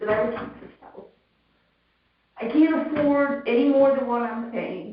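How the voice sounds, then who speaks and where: Room echo is audible as a woman speaks fairly slowly. Her voice is high, with ordinary pitch variation. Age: 60s. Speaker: homeowner appealing assessment. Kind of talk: public hearing testimony. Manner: halting.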